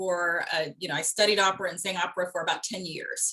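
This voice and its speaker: Noticeable background noise accompanies a woman at medium pitch who speaks very fast. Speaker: voice actor and former opera singer. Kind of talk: interview. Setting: podcast.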